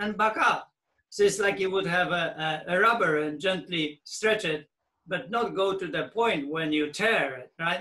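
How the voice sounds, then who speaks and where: A man speaks at a fairly slow pace in a bright, sharp tone. His pitch is high, with ordinary variation. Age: 60s. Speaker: fitness program creator and coach. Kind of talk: advice call Q&A.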